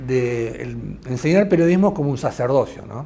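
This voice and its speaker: With an Argentine accent, a man talks at a fairly slow pace, his medium pitch showing ordinary pitch variation. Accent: Argentine Spanish (Rioplatense). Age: 60s. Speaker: investigative journalist. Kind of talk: interview conversation. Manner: halting, many fillers.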